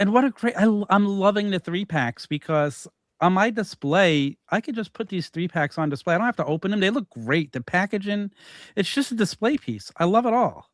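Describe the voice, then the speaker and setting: A man's high, lively voice in a New York accent at a fairly quick pace, dry and close with no echo, on a very clean recording with a silent background. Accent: Staten Island. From New York, Staten Island. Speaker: podcast host. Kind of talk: casual chat.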